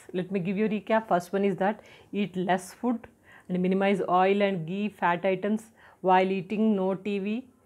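A woman with an Indian accent speaks at a fairly slow pace. Her intonation is monotone and flat. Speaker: health and personality development educator; personality development educator. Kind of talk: tutorial talk to camera. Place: home room.

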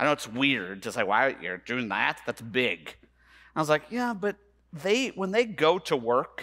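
With a bright, sharp tone, a man speaks at a moderate pace against a quiet background. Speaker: conference keynote speaker. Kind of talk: keynote talk. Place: stage. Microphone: headset.

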